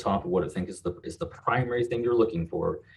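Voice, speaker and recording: Speaking at a very fast pace, a man has a medium pitch and a dark, mellow tone. His delivery is somewhat breathy, with lively intonation. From western Kentucky. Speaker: marketing agency founder and CEO. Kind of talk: casual interview.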